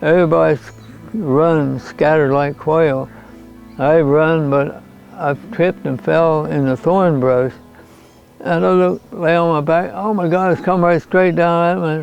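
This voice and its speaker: Music plays in the background as a man with an American accent speaks fairly slowly at a fairly high pitch with ordinary pitch variation. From North Fork, California. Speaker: retired logger and miner. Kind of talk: interview answer.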